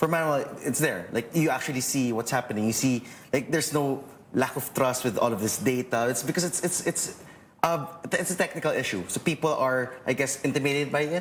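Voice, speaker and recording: A fairly high-pitched man speaking fairly quickly with ordinary pitch variation amid noticeable background noise. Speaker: lawyer, election watchdog official. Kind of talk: panel discussion. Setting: TV studio.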